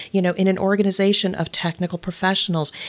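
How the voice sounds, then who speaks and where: Speaking with a Midwestern accent, a woman keeps a fairly quick pace. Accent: American (Midwest). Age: 50s. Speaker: business author and podcast host. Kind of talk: casual interview chat.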